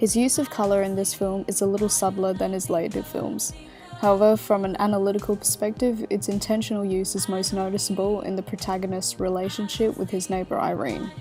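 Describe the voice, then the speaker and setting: A woman's medium-pitched voice with ordinary pitch variation, music playing in the background. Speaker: university student. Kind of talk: video essay narration.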